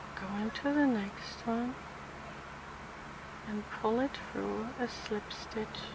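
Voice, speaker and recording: Very slow and soft-spoken, the voice moves with fairly even intonation and long, frequent pauses, amid noticeable background noise and audible room echo. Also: woman, fairly high pitch for a woman. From southern Germany (Swabia). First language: German. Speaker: crochet tutorial creator. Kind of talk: tutorial.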